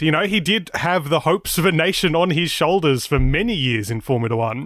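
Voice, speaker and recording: Talking at a fairly quick pace with hardly any pauses, a man with a slight Australian accent uses a fairly high pitch and very wide pitch swings. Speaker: motorsport podcast presenter. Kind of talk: casual chat.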